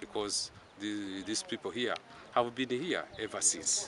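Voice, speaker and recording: Through noticeable background noise, a man speaks at a fairly low pitch with ordinary pitch variation in a dry sound with no echo. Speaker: local politician. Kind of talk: interview answer. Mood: concerned, appealing to authorities. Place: open country.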